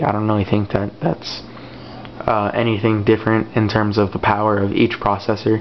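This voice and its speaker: Over noticeable background noise, a man mumbles at a fairly quick pace in a fairly low voice. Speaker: tech reviewer. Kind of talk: casual product review. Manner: hesitant, many fillers; mumbling.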